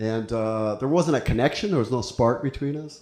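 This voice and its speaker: With lively intonation and a moderate pace, a man talks while audible room echo lingers around him. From Ecuador and El Salvador. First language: Spanish. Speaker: stand-up comedian. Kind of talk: stand-up. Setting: stage with audience.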